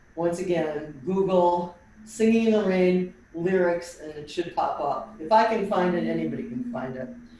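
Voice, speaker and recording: A woman's medium-pitched voice at a moderate pace, with ordinary pitch variation, hardly any pauses, big swings in loudness, noticeable background noise and audible room echo. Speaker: tap dance teacher. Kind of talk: online dance class instruction. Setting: video call.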